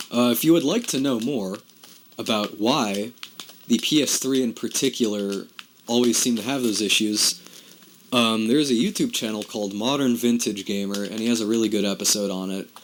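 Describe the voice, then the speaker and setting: Noticeable background noise sits behind a man talking at a fairly quick pace. His pitch is medium, with ordinary variation. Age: 20s. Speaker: gaming video creator. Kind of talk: casual gameplay commentary. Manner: halting, many repeated words.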